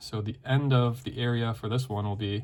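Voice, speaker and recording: A man at medium pitch, somewhat breathy, with fairly even intonation and a moderate pace. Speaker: teacher. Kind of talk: lesson.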